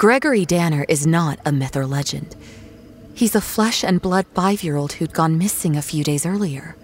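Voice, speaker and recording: A woman with a very deep, low pitch speaks in an anxious tone at a moderate pace with ordinary pitch variation. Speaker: story narrator. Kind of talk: horror fiction reading. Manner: tense, anxious.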